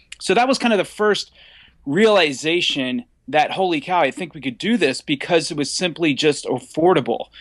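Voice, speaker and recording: Against a quiet background, a man with an American accent speaks at a moderate pace with lively intonation. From US Mid-Atlantic, near Washington DC. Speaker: independent filmmaker. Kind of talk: casual interview. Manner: animated.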